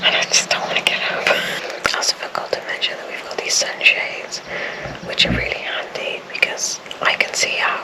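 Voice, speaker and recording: Whispered words from a woman at a moderate pace, noticeable background noise underneath. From South Wales. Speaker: vlogger. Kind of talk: casual vlog monologue. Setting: outdoors and in a car. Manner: whispering.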